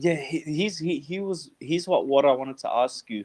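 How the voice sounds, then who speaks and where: This man speaks with an Australian accent and lively intonation. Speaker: podcast host. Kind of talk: casual chat. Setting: online voice chat room. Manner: energetic.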